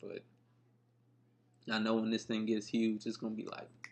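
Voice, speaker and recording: Relaxed in tone, a man talks at a medium pitch and moderate pace with monotone, flat intonation. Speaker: podcast host. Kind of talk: casual podcast monologue. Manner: relaxed, conversational.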